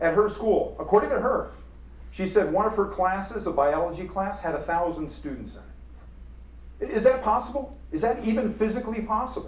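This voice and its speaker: A man talks at a fairly quick pace. Room echo is audible, and there is noticeable background noise. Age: 60s. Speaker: professor. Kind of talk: lecture. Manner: animated.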